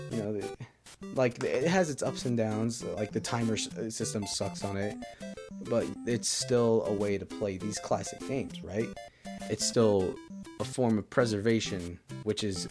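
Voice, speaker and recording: A man talking at a fairly slow pace, with music in the background. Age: young. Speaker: gaming youtuber. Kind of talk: casual talk to camera.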